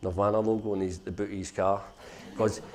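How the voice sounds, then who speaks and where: A man's fairly low voice with a Glasgow accent and fairly even intonation. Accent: Glasgow (Govan). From Scotland, Glasgow (Govan). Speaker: social enterprise founder. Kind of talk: conference talk, personal story. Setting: conference stage with audience.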